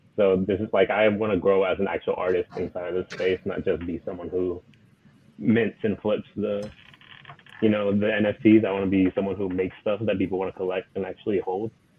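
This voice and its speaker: Over noticeable background noise, a man with a fairly low voice speaks fairly quickly in a flat monotone. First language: Spanish. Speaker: digital artist. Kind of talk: casual chat. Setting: live stream.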